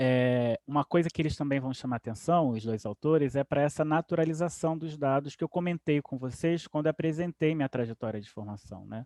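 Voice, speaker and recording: A man with a fairly high pitch and a dark, mellow tone talks at a fairly quick pace with hardly any pauses and ordinary pitch variation, the sound dry and close with no echo over a quiet background. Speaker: professor. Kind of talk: lecture.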